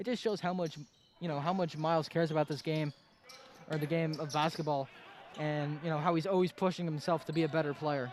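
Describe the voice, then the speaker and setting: At a fairly quick pace, a man talks in a normal speaking voice, fairly high in pitch with fairly even intonation. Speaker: basketball color commentator. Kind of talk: live sports commentary.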